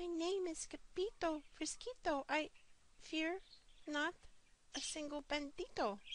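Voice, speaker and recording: A woman in a put-on character voice speaks at an extremely high pitch with lively intonation and long, frequent pauses. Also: fairly slow pace. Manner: very soft, quavering.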